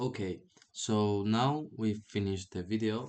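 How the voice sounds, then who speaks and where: This man speaks with a non-native accent and fairly even intonation. His pace is fairly slow. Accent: non-native English accent, self-described. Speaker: programming tutorial creator. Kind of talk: screen-recorded tutorial. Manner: hesitant, with filler sounds.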